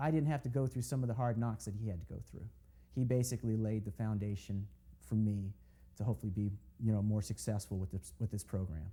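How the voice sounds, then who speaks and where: In a General American accent, a man with a fairly low pitch speaks very fast with lively intonation in a dark, mellow, somewhat breathy tone. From Oakland, California. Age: 40s. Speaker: race car driver. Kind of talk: interview. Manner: conversational.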